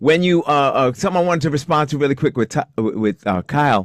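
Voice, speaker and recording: With lively intonation, a man delivers his words at a fairly quick pace. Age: 60s. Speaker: retired law enforcement officer and trainer. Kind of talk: casual panel discussion. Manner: halting, many repeated words.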